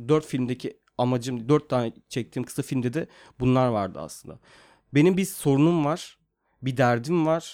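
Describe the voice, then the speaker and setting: In a normal speaking voice, a man talks at a moderate pace and medium pitch with ordinary pitch variation, on a very clean recording with a silent background. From Turkey (İzmir and Mersin). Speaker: screenwriter and film director. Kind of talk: casual interview.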